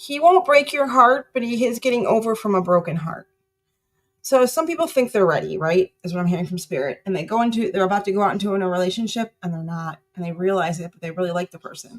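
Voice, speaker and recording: A woman's medium-pitched voice at a very fast pace, with lively intonation and big swings in loudness. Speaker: tarot reader. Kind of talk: live tarot reading. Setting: live stream.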